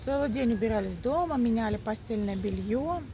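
The sound is dry with no echo and light background noise as a woman speaks at a moderate pace in a high voice. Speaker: vlogger. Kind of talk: casual vlog chat. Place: open country. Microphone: phone near.

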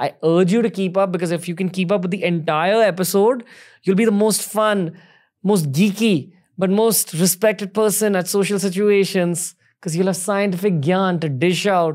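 Against a quiet background, a man talks at a moderate pace in a high pitch with fairly even intonation. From India. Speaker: podcast host. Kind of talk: podcast interview; episode intro. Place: studio. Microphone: studio mic.

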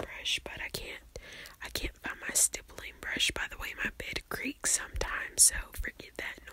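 A woman whispers at a fairly slow pace. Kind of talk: soft ASMR-style roleplay chat. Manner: soft, hushed ASMR speaking voice. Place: home room. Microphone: phone near.

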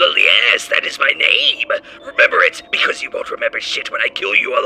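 A man speaks at an extremely high pitch and a fairly quick pace. Clear background noise can be heard. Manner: manic, shouting, boastful.

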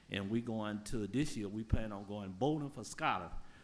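Very clean audio with a silent background: a man's moderate pace and ordinary pitch variation. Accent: Alabama. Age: 60s. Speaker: public commenter. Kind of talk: public comment at council meeting. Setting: city council chamber. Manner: halting.

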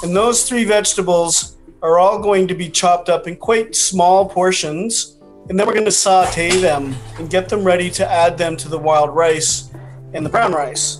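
With faint music in the background, a man speaks in a high pitch at a moderate pace. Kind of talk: tutorial. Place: home room. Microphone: video call.

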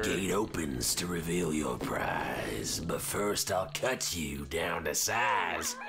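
Against loud background noise, a man speaks fairly slowly in a very deep, low pitch. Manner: taunting, rhyming.

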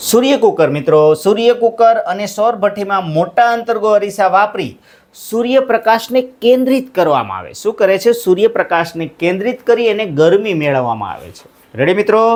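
Big swings in loudness mark a man's high voice, which shows ordinary pitch variation. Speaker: school teacher. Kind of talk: lecture. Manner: repetitive, drilling.

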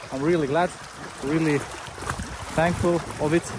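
A man's speech sounds dry with no echo, with noticeable background noise behind it. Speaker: outdoor beaver-dam vlogger. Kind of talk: casual vlog chat. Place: waterside. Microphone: phone near.

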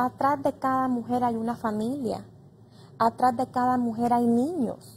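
This woman speaks slowly, at a fairly unhurried pace, with a high pitch. Her intonation is monotone and flat, with light background noise. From Honduras. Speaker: congresswoman; guest, politician. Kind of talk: panel discussion. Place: studio.

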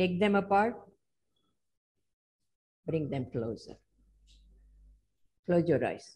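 At a very slow pace with long, frequent pauses, a woman speaks in a fairly low pitch with very wide pitch swings, vocal fry and a dark, mellow tone. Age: 80s+. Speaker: qi gong teacher and healer. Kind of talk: guided movement instruction. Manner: slow, calm. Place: home room. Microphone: video call.

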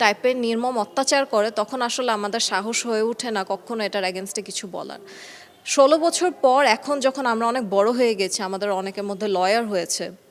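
This woman's voice sits fairly high. Noticeable noise runs in the background. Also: ordinary pitch variation. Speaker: daughter of slain army officer. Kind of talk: news interview.

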